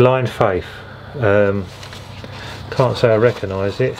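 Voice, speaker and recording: A man talks at a very slow pace in a fairly low pitch. Noticeable background noise and audible room echo fill the recording. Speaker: record collector vlogger. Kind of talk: casual vlog. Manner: hesitant, many fillers.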